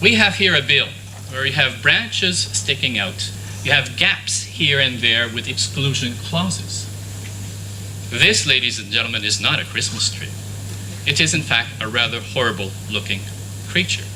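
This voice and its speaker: With a Quebec accent, the speaker keeps a moderate pace and fairly even intonation, leaving long, frequent pauses amid audible room echo and noticeable background noise. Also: man, fairly low pitch for a man. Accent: Canadian French. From Canada, French-speaking region. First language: French. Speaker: conference speaker on international law. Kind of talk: conference presentation.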